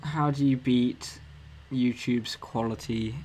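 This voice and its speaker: A man of medium pitch at a fairly slow pace, with fairly even intonation. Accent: southern English. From England, Cambridge. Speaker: motion designer streamer. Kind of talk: casual live stream Q&A. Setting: live stream. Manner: hesitant, many ums.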